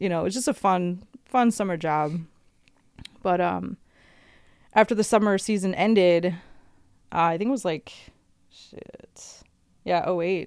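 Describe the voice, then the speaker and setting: At a fairly slow pace with long, frequent pauses, a woman speaks at a medium pitch with ordinary pitch variation in a very clean recording with a silent background. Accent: American. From US Midwest (Chicago area). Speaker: arborist. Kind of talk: casual chat.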